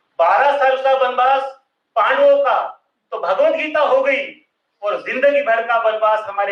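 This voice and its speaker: This man's voice is high in pitch, with lively intonation. Audible room echo surrounds it. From Maharashtra. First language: Marathi (speaking Hindi). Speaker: social thinker and speaker. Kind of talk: public lecture. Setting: stage with audience.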